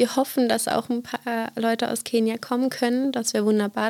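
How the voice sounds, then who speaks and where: Her pitch sits fairly high for a woman, and her intonation stays monotone and flat. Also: dry, close sound with no echo. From eastern Brandenburg, Germany. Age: 20s. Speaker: student and youth music project leader. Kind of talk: podcast interview. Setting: studio.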